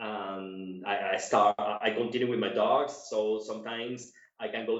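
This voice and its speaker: Audible room echo surrounds the man as he speaks. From Cuba, moved to Colombia as a teenager. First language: Spanish. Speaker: dog show judge and handler. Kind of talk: interview. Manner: halting, many repetitions.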